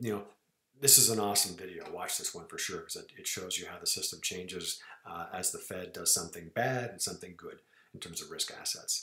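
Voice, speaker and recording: A man talks at a fairly quick pace. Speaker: market analyst. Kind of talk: market analysis screencast. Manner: fast; animated.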